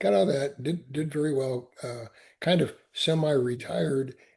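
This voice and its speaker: A man speaks at a fairly high pitch, somewhat breathy. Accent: American. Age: 70s. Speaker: Marine veteran and entrepreneur. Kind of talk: podcast interview. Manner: halting, many repetitions.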